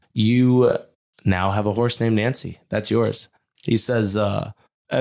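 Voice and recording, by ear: The reading is aloud, in a natural voice with fairly even intonation. It's quiet in the background.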